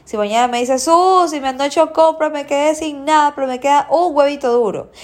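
Ordinary pitch variation runs through an animated tone. The speech keeps a moderate pace. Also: woman. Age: 30s. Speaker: nutritionist podcast host. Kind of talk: solo educational podcast.

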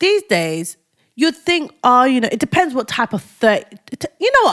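This woman's high-pitched voice moves through very wide pitch swings. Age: 30s. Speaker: podcast co-host. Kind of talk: casual chat.

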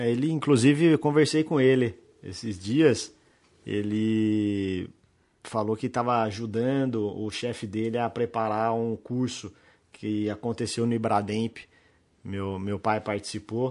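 Against a quiet background, a man speaks in a plain, everyday voice at a medium pitch and a fairly slow pace, with ordinary pitch variation. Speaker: criminal lawyer, podcast host. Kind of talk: casual interview chat. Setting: office set up as studio.

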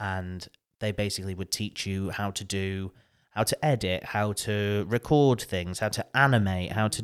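A man with a northern English accent speaks at a fairly low pitch in a very clean recording with a silent background. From northern England. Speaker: podcaster and radio professional. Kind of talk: casual interview chat. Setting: studio.

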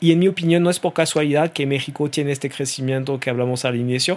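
A man with a French accent, fairly high in pitch, at a fairly quick pace. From France. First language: French (speaking Spanish). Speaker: e-commerce association executive. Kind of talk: interview conversation.

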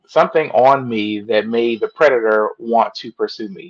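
A plain, everyday voice, a man with an American accent at medium pitch and a fairly slow pace. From Washington DC area. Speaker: co-author and psychology student. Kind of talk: testimony.

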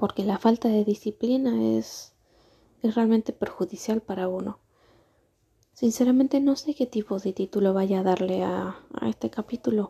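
A soft-spoken woman with a fairly high, somewhat breathy voice and a dark, mellow tone talks in a calm tone at a moderate pace. Her pitch varies in an ordinary way, and the sound is dry and close with no echo. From Argentina. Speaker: vlogger. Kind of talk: unscripted personal monologue. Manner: soft, calm and relaxing.

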